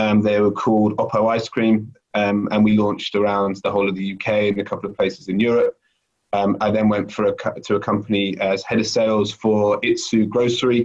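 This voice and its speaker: Flat, monotone intonation in a British accent at a fairly quick pace. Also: man, fairly low pitch for a man. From UK. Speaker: sales director. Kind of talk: interview. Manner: hesitant, many fillers.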